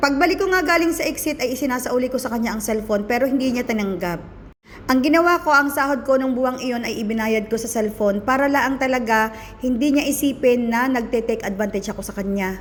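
Someone talks at a very fast pace in an animated tone with ordinary pitch variation, with audible room echo. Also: woman, high pitch for a woman. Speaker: vlogger. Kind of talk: casual storytelling vlog.

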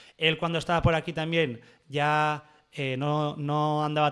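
Against a quiet background, a man speaks in a monotone, flat intonation at a fairly high pitch. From Basque Country, Oyarzun; Basque Country. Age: 20s. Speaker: surf photographer; podcast guest. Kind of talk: casual interview chat. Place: studio. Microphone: studio mic.

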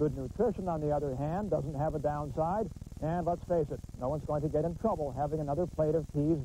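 This man has a normal speaking voice pitched fairly high. He talks at a fairly quick pace. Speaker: sports reporter. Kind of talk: TV news package voiceover.

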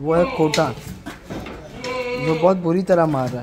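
Faint noise sits in the background. A man with a slightly mellow tone speaks at a fairly slow pace.

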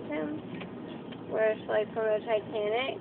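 There is noticeable background noise as a woman speaks in a dry sound with no echo. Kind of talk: drowsy casual chat. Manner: groggy, sedated, slurred slow speech. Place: car. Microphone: phone near.

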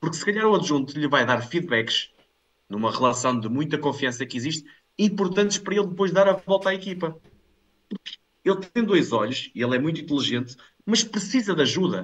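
A man talks at a fairly quick pace with a fairly high pitch. His voice swings very widely up and down. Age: 30s. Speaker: football pundit; football commentator. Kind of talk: casual chat. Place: home room. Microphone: headset.

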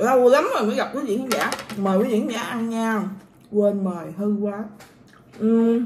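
Over noticeable background noise, a woman with a fairly high pitch speaks at a fairly slow pace with long, frequent pauses. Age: 20s. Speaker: vlogger. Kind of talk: casual eating vlog; casual vlog chat. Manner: animated. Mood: playful, mock complaint. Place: home room. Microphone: phone near.

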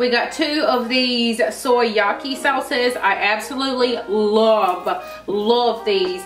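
With audible room echo and faint music in the background, a woman speaks at a high pitch with ordinary pitch variation. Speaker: vlogger. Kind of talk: casual vlog chat. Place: kitchen. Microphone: camera far.

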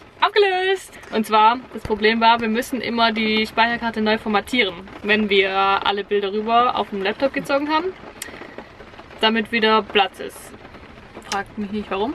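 Moderate pace with long, frequent pauses, dry sound with no echo, light background noise. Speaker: travel vlogger. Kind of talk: casual vlog chat. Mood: cheerful, amused. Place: car. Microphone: phone near.

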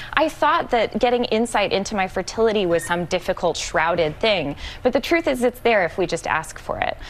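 A woman talks at a fairly quick pace with hardly any pauses and very wide pitch swings over light background noise. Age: 30s. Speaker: magazine editor; guest. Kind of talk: TV panel interview. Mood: upbeat, warm. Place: studio.

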